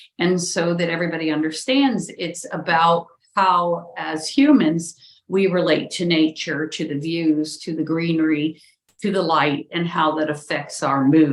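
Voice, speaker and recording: Using a normal speaking voice, a woman talks fairly slowly with a fairly low pitch and ordinary pitch variation. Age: 60s. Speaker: architect. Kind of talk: interview conversation.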